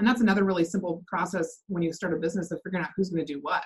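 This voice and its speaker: A somewhat breathy voice with an American accent. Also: woman. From US Pacific Northwest, Seattle area. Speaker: real estate team operations manager. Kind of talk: interview.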